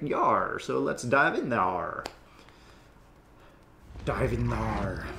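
A man does a raspy put-on character voice at a very slow pace, leaving long, frequent pauses.

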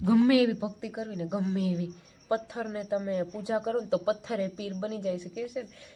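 A woman speaks in a somewhat breathy, dark, mellow tone at a fairly high pitch. Her intonation stays fairly even. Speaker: vlogger. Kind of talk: casual vlog.

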